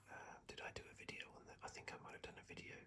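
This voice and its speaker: Whispering in a British accent at a fairly quick pace. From England. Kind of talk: casual talk to camera, relaxed ASMR commentary. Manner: whispered, soft-spoken.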